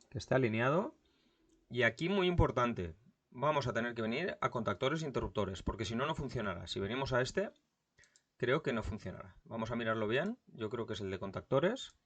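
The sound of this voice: A man at medium pitch talks at a fairly quick pace, with lively intonation, a slightly husky edge and a fairly bright tone.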